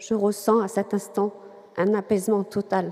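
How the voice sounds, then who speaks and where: Over noticeable background noise, a woman talks at a very slow pace at medium pitch with monotone, flat intonation. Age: 40s. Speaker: catechumen giving faith testimony. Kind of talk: testimony.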